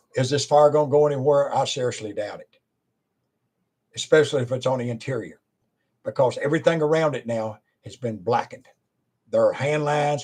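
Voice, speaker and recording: A man talks at a fairly quick pace in a fairly high pitch, his voice somewhat breathy. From Virginia, US. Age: 70s. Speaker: preacher and former wildland firefighter. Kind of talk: informal talk to camera.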